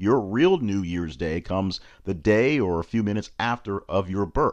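Against a quiet background, a man with a fairly low pitch speaks at a moderate pace. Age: 40s. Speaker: personal development coach and podcast host. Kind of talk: solo self-help monologue.

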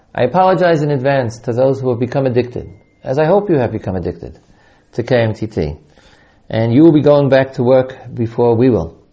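With a plain, everyday voice, a man speaks fairly quickly at a medium pitch with lively intonation. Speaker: yeshiva teacher and podcast host. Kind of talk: announcement and introduction.

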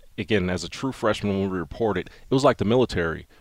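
The man's very deep, low voice carries an American accent, captured in a very clean recording with a silent background. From northeastern Pennsylvania (Wilkes-Barre). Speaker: NFL team personnel executive, former player. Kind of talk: interview. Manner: halting, with fillers.

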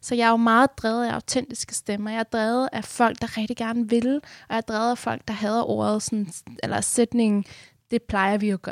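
On a very clean recording with a silent background and a dry, close sound with no echo, a woman speaks in a fairly high pitch with monotone, flat intonation. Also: moderate pace. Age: 20s. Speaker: activist and new radio host. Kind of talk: radio interview. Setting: studio.

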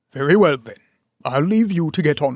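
A man puts on a character voice with a fairly high pitch. He moves at a fairly quick pace with big swings in loudness. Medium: read story. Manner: formal, stiff.

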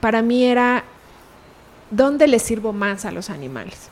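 Here is a plain, everyday voice. Its pitch varies in an ordinary way. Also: woman. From Mexico, Pachuca, Hidalgo. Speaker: animal rights organization director. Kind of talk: interview. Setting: in person.

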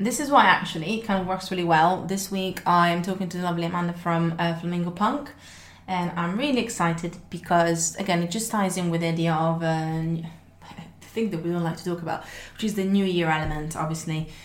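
Speaking with a non-native accent, a woman uses a fairly low pitch and ordinary pitch variation. Her pace is fairly quick. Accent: noticeable non-native. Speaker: podcast host. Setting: podcast studio conversation. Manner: fast talker; naturally fast talker.

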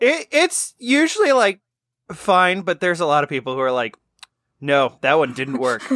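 High-pitched and bright, a man's sharp voice swings very widely in pitch at a moderate pace. The sound is dry and close, with no echo. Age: adult. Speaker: podcast co-host. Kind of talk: casual chat.

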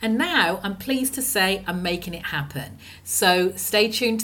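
Speaking at a fairly slow pace, a woman uses lively intonation along with vocal fry. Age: 50s. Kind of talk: scripted podcast intro and outro; casual interview chat.

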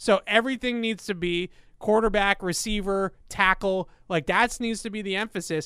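Bright and sharp in tone, a man's raised, projected voice sits high in pitch, moving at a moderate pace with fairly even intonation on a very clean recording with a silent background. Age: 30s. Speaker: sports podcast host. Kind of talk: casual chat.

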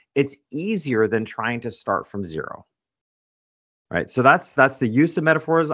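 A man with a normal speaking voice and an American accent talks at a fairly quick pace with lively intonation. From New York. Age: 50s. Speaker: author and business coach. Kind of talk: interview.

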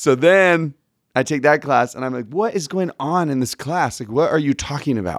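A man with an American accent talks at a moderate pace and fairly high pitch, with lively intonation. The recording is very clean, with a silent background. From Texas. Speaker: religion teacher and podcast co-host. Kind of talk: casual interview chat. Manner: animated.

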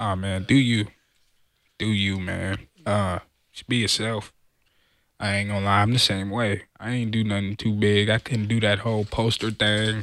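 Monotone and flat, a man with a fairly low pitch talks at a moderate pace, leaving long, frequent pauses. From Southern California. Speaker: football player. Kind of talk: casual chat.

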